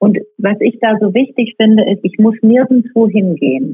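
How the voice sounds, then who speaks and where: Her voice is a plain, everyday voice, fairly high in pitch for a woman, with ordinary pitch variation and a fairly slow pace. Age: 40s. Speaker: yoga teacher. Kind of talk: interview.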